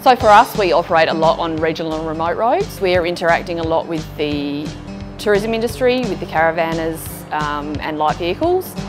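Ordinary pitch variation at a fairly quick pace, with clear music in the background. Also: woman, fairly low pitch for a woman. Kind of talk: interview answer. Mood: calm, reassuring. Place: street.

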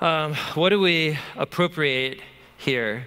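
A man speaks with ordinary pitch variation. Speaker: bible teacher. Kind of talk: lecture. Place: hall.

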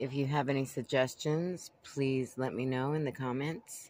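The speech moves at a fairly slow pace, with light background noise and a dry sound that has no echo. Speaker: van dweller vlogger. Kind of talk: casual vlog chat. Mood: wry, mildly worried. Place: home room. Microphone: phone near.

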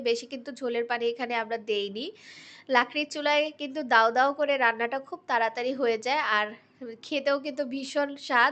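A woman with a high pitch speaks with fairly even intonation against a quiet background. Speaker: cooking vlogger. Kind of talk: vlog voiceover narration.

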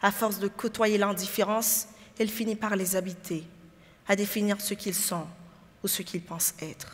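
A woman speaks in a somewhat breathy voice with monotone, flat intonation. Her pauses are long and frequent. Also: moderate pace. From Haiti. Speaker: lawyer; lawyer in a pleading contest. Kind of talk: courtroom-style advocacy speech. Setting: stage with audience and jury. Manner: formal. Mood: grave, impassioned. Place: hall. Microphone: headset.

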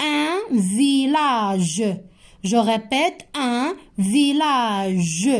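The pace is very slow, with very wide pitch swings. The background is quiet. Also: woman, high pitch for a woman. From Morocco. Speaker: primary school teacher; teacher. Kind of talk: lesson for young pupils. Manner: slow, repeating words for children. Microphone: phone near.

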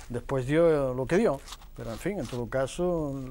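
A man with a dark, mellow tone. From Huelva, Andalusia, Spain. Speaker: film director. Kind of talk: TV debate. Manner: halting.

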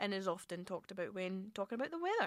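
A woman's bright, sharp voice in a Scottish accent, dry with no echo, against a quiet background. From Scotland. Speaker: radio host. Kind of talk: radio show presenting. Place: studio.

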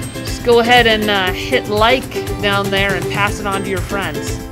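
Fairly slow speech over loud background music. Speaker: video host interviewing soldiers. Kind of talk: casual, playful. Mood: playful, joking. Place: hall.

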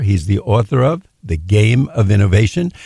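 Somewhat breathy, a man speaks in a dark, mellow tone with lively intonation. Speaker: radio host. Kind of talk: radio interview. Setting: studio.

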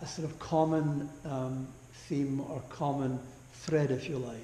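Monotone and flat, a man speaks at a fairly slow pace with audible room echo and light background noise. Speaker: preacher. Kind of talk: sermon. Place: church.

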